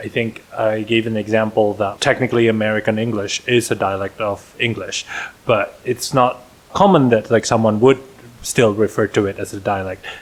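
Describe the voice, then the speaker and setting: At a fairly quick pace, a man with an Indonesian accent speaks at a medium pitch in a monotone, flat intonation over noticeable background noise. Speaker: podcast co-host. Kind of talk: casual chat.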